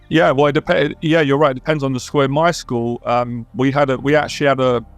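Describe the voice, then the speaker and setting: A man's fairly high, fairly evenly intoned voice at a fairly quick pace, very even in loudness, with music in the background. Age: 40s. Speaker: confidence coach. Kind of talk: casual chat.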